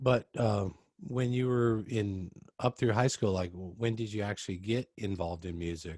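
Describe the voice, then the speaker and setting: Speaking with an American accent, a man has an unremarkable speaking voice, fairly low in pitch, at a moderate pace with ordinary pitch variation. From US West Coast (Oregon). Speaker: podcast host. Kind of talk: casual interview.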